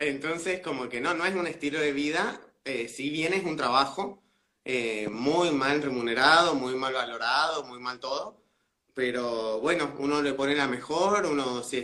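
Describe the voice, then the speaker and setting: This is a plain, everyday voice. A man at medium pitch speaks at a moderate pace with ordinary pitch variation. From Mendoza, Argentina. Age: 20s. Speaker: drag queen. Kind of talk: casual interview. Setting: video call livestream.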